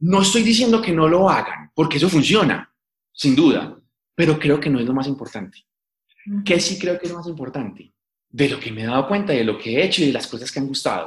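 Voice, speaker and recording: An ordinary speaking voice delivered at a fairly quick pace. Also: man, fairly high pitch for a man. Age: 20s. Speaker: science communicator. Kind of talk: interview.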